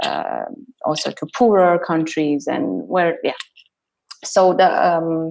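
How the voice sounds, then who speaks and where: A woman with a non-native accent at a very slow pace, with long, frequent pauses. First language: not English. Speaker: artist and choreographer. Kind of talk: online panel discussion. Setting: online video event. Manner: hesitant, many fillers.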